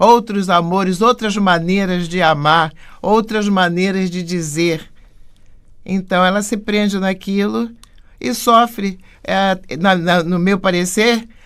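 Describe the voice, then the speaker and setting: On a very clean recording with a silent background, a woman at a medium pitch speaks at a very slow pace with ordinary pitch variation and long, frequent pauses. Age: 80s+. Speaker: stage actress. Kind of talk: interview.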